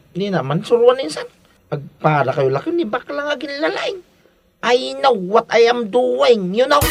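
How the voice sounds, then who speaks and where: A man's put-on character voice, extremely high in pitch, with very wide pitch swings at a fairly slow pace over music in the background. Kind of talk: comic overacting. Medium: audio drama. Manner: mixes Ilocano with English phrases.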